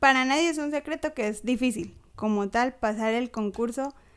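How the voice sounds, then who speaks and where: A woman at a moderate pace. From Colombia, Ocaña. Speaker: schoolteacher. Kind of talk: casual chat.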